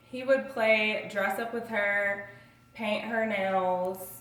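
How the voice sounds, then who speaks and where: Audible room echo hangs around this voice. The woman talks very slowly. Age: 20s. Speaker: student. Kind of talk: self-introduction speech.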